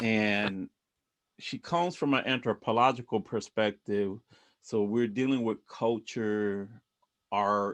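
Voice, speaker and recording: With a slight Puerto Rican accent, a man at a fairly low pitch talks at a very slow pace with long, frequent pauses and ordinary pitch variation, in a dry, close sound with no echo and a quiet background. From Puerto Rico. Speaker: book club organizer. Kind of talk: group discussion on video call. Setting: video call. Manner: halting, many restarts.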